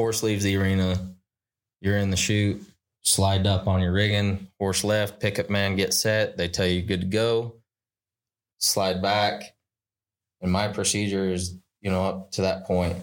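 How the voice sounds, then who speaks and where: With an American accent, a man talks fairly slowly in a fairly low pitch, flat and monotone. His loudness stays very even, broken by long, frequent pauses. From Utah. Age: 20s. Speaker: rodeo cowboy. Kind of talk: casual chat.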